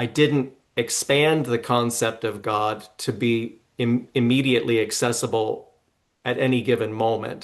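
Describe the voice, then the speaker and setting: A man's medium pitch in a monotone, flat intonation. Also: fairly slow pace. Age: 60s. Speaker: psychic medium. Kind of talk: interview. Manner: halting, many fillers.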